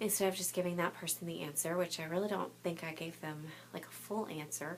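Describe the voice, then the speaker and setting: Quiet, fairly low-pitched woman talking at a very fast pace. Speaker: clothing consultant and special education teacher. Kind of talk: casual vlog chat. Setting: home boutique at night. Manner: hesitant, many fillers.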